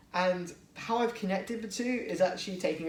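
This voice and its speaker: A man speaks with an English accent over noticeable background noise, with audible room echo. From England. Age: 20s. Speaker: toy blaster modder, YouTuber. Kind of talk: product showcase tutorial. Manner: casual, hesitant with fillers.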